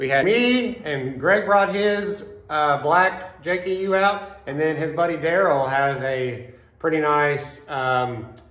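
A man at a very slow pace with ordinary pitch variation, amid audible room echo. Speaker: off-road channel host. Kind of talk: casual vlog chat. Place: garage. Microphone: phone near.

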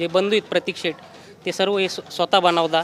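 A man speaks in a raised, projected voice with a high pitch and monotone, flat intonation. Noticeable background noise runs underneath. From Yeola, Nashik district, Maharashtra. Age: 20s. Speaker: restaurant co-owner. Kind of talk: interview.

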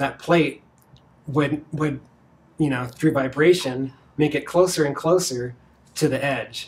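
A man with an American accent talks at a moderate pace in a fairly high, somewhat breathy voice with fairly even intonation. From Virginia, US. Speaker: marketing executive; interviewee. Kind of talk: interview. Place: office.

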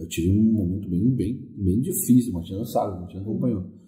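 A man's somewhat breathy, dark, mellow tone at a fairly quick pace, with audible room echo. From Porto Alegre, southern Brazil. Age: 40s. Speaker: musician, ghost-tour guide. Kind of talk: interview.

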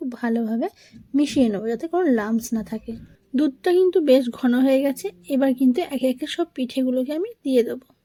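Dry and close with no echo, a woman's high-pitched voice carries a dark, mellow tone. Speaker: cooking channel host. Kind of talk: cooking tutorial.

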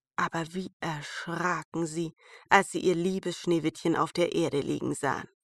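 In a normal speaking voice, a woman with a fairly low pitch talks at a moderate pace, with a dry, close sound and no echo. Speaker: fairy tale narrator. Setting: home recording, rain outside. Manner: calm, soothing, storytelling pace with character voices.

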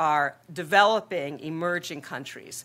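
The woman speaking has a very deep, low pitch. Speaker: population health researcher, academic director. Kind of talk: conference presentation. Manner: frequent filler ums. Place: hall.

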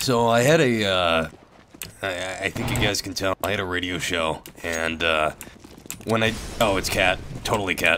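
A man's very deep, low-pitched voice with long, frequent pauses over noticeable background noise. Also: ordinary pitch variation, moderate pace. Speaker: online gamer. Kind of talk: casual gaming chat.

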